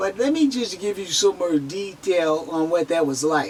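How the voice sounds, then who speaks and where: Amid noticeable background noise, a woman speaks at a fairly slow pace, her pitch swinging very widely. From San Francisco Bay Area, US. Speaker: near-death experiencer sharing testimony. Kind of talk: testimony. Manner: halting, repeats words; slightly slurred speech.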